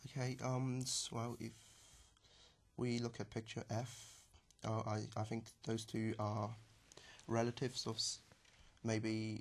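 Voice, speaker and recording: Somewhat breathy and flat, a man at medium pitch speaks in a monotone at a fairly slow pace, leaving long, frequent pauses. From southern China. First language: Chinese. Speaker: language exam candidate. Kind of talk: speaking exam. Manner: halting.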